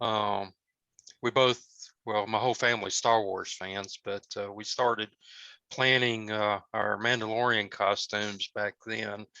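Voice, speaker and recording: With a Southern US accent, a man with a fairly low pitch and a bright, sharp tone speaks at a very slow pace in a monotone, flat intonation, the sound dry and close with no echo against a quiet background. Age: 50s. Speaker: cosplayer. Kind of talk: casual talk. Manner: halting, many fillers.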